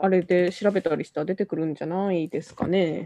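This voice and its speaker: A woman with a dark, mellow tone talks at medium pitch and moderate pace, in a dry, close sound with no echo. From not from Miyazaki. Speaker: podcast host. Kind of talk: casual chat.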